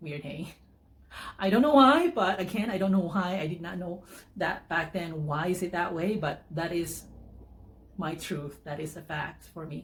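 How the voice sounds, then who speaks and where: Somewhat breathy and fairly low-pitched, this woman's voice has ordinary pitch variation and big swings in loudness. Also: moderate pace. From Philippines. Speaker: vlogger. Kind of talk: personal testimony vlog. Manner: halting, many fillers and restarts.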